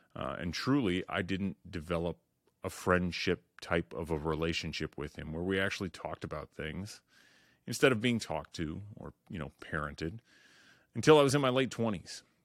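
A man with a very deep, low voice speaks at a moderate pace, with big swings in loudness. The recording is very clean, dry and close, with no echo and a silent background. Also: lively intonation. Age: 40s. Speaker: podcast host. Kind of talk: solo monologue intro.

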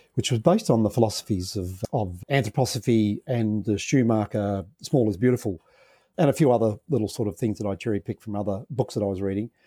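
Speaking very fast with an Australian accent, a man has a fairly low, somewhat breathy voice with a dark, mellow tone and ordinary pitch variation, in a dry, close sound with no echo on a very clean recording with a silent background. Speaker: social entrepreneur, former dairy farmer. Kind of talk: interview. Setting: podcast interview.

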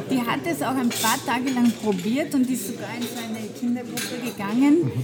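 Noticeable background noise and audible room echo surround a woman speaking at a moderate pace in a high pitch. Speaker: dermatologist. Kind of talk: casual chat. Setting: coffee house.

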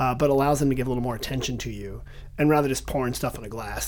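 Noticeable background noise sits behind the speech. A man delivers his words very fast. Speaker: podcast host. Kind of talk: casual interview chat. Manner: animated, joking.

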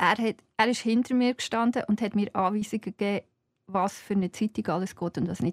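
A woman with a Swiss accent speaks fairly quickly in a medium pitch, somewhat breathy and with fairly even intonation. The sound is dry and close, with no echo. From Switzerland, Fricktal (Aargau). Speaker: journalist and writer. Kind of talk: casual interview. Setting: studio.

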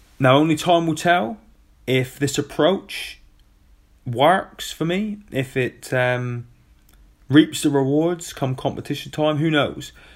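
A man's fairly high voice in a British accent, very slow with long, frequent pauses and ordinary pitch variation, on a very clean recording with a silent background. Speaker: former Royal Marine, adaptive athlete podcaster. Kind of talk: solo podcast monologue. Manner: casual, chatty.

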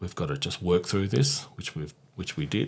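Speaking with an Australian accent, a man uses a very deep, low pitch and ordinary pitch variation. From South Australia (Mount Gambier), Italian family. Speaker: PR consultant. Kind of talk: casual interview chat.

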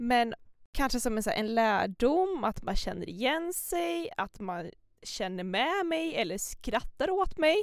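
Very slow delivery from a woman with a high pitch and very wide pitch swings. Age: 20s. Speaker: podcast co-host, psychology student. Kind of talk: casual chat.

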